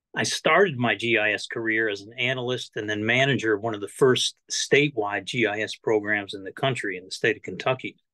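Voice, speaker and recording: A man with a bright, sharp tone, a fairly quick pace, hardly any pauses and big swings in loudness. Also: ordinary pitch variation, quiet background. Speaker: GIS consultant; presenter. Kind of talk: webinar presentation. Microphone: webcam.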